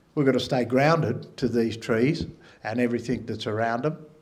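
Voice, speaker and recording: Audible room echo surrounds a voice whose pitch varies in an ordinary way. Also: man. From Australia, NSW south coast. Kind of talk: public talk. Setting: stage with audience.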